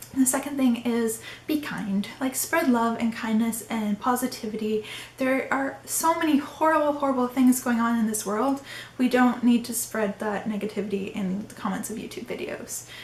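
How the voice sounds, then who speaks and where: A woman speaks in a fairly high, shaky voice with big swings in loudness. Noticeable background noise sits behind her. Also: ordinary pitch variation, moderate pace. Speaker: YouTuber. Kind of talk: casual talk to camera. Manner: trembling, sounds like crying.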